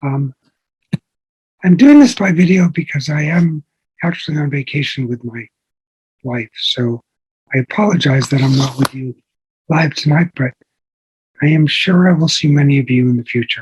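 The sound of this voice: With long, frequent pauses, a man talks at a moderate pace in a fairly high, raspy voice with a husky, rough edge and a slightly mellow tone, recorded dry and close with no echo. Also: ordinary pitch variation.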